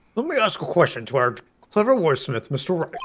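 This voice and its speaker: A man puts on a character voice, high-pitched and very fast. His pitch swings very widely. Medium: game stream. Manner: measured, questioning.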